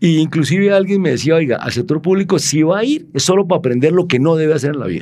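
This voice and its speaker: A man's fairly high voice with lively intonation at a very fast pace. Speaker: former city infrastructure official. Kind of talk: interview conversation.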